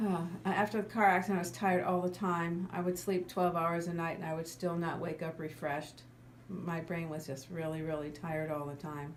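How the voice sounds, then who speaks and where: A woman with a fairly low pitch talks at a fairly quick pace and fairly even intonation. Audible room echo can be heard. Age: 60s. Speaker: psychologist, client telling her recovery story. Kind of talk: testimony. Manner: halting, repeats words.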